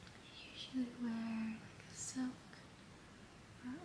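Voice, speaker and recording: Soft-spoken and monotone, a woman talks at a very slow pace with noticeable background noise behind her. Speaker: vlogger. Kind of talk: casual vlog chat, relaxing bedtime style. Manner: soft sleepy ASMR murmur. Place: home room. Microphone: phone near.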